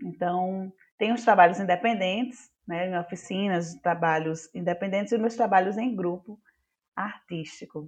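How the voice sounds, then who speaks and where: Intonation is lively at a moderate pace. It is a plain, everyday voice. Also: woman. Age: 30s. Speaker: actress and drama teacher. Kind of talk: casual chat.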